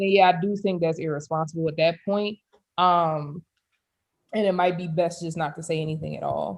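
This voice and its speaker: An unremarkable speaking voice: a woman with an American accent, fairly low pitch, fairly even intonation and a moderate pace. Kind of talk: casual chat.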